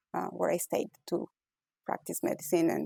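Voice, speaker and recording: A woman with an Ecuadorian accent, her sound dry and close with no echo. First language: Spanish. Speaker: physician-scientist, author. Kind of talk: interview. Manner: hesitant, many fillers.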